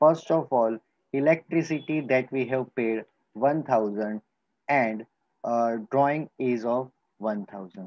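A man with an Indian accent speaks at a very slow pace, leaving long, frequent pauses against a quiet background. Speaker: school teacher. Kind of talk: lecture. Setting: recorded video lesson. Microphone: webcam.

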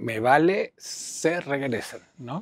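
Against a quiet background, a man is heard in a dry sound with no echo. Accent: Mexico City. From Mexico City. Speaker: writer and theatre teacher; theatre teacher. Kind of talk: interview. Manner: halting, many fillers. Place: home room. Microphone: lapel.

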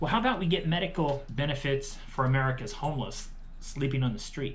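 A man's voice shows ordinary pitch variation against light background noise. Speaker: candidate. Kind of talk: campaign speech to camera.

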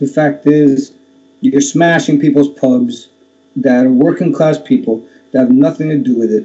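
With an American accent, a man talks in a normal speaking voice, fairly high in pitch, with ordinary pitch variation. His pace is moderate and his loudness stays very even. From Miami, Florida. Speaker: former football hooligan and activist; interview guest. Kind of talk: interview. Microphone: webcam.

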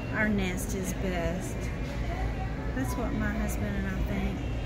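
Music plays in the background. The woman talks at a fairly slow pace. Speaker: shopper vlogger. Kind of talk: casual vlog chat. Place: shop. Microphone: phone near.

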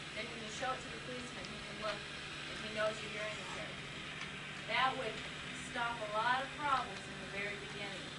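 Loud background noise fills the clip. Over it, a woman talks at a very fast pace with ordinary pitch variation. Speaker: teacher of deaf students. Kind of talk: classroom teaching while signing. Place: classroom. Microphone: old recording.

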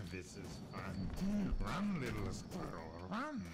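Over noticeable background noise, a man uses a put-on character voice at a medium pitch and a very slow pace. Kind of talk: casual gameplay commentary. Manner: taunting, menacing. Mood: playful, amused.

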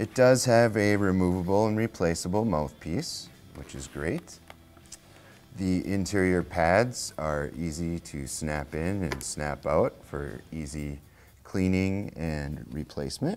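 Faint music plays in the background. A man speaks very slowly at a very deep, low pitch. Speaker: presenter. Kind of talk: product review presentation. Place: shop. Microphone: lapel.

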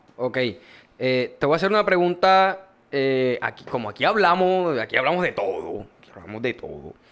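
A man with a Colombian Caribbean accent speaks at a moderate pace in a high pitch. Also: lively intonation. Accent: Colombian Caribbean (costeño) Spanish. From Colombian Caribbean coast, Córdoba. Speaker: podcast host. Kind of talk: casual chat. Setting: studio.

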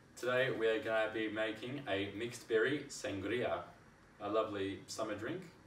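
Speech moves at a moderate pace. Audible room echo and light background noise are present. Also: man. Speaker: home cocktail maker. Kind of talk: casual cooking tutorial to camera. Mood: cheerful, relaxed. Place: kitchen. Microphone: camera far.

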